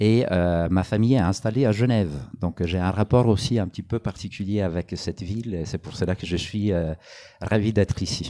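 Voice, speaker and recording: Fairly low in pitch with a dark, mellow tone, a man speaks at a moderate pace in a very clean recording with a silent background. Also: ordinary pitch variation. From Italy. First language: Italian (speaking French). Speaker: anthropologist author. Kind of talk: public talk interview. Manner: halting, many hesitations.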